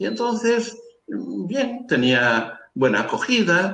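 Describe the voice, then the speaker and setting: A man's voice with very wide pitch swings. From Galicia, Spain (Carril, Ría de Arosa). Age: 70s. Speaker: priest. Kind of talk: interview, life story. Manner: halting, many fillers.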